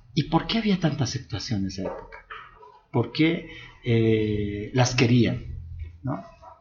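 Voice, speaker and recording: Against noticeable background noise, a man with a medium-pitched voice talks at a fairly slow pace with lively intonation and long, frequent pauses. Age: 40s. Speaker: LGBT rights activist. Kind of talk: interview. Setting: La Paz.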